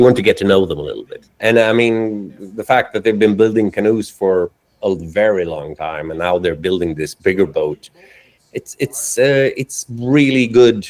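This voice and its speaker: In a Swedish accent, a man talks at a fairly low pitch and moderate pace with lively intonation and big swings in loudness, the sound dry and close with no echo. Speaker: cinematographer and editor. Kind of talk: casual interview chat.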